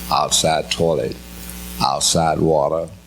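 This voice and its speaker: Noticeable background noise and audible room echo around very slow speech. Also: man. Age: 80s+. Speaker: pastor, civil rights activist. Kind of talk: panel discussion. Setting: stage with audience.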